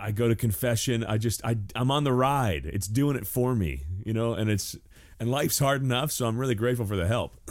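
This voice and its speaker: A man with a normal speaking voice, a fairly quick pace, very even loudness and ordinary pitch variation. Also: medium pitch for a man. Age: 40s. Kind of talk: casual chat.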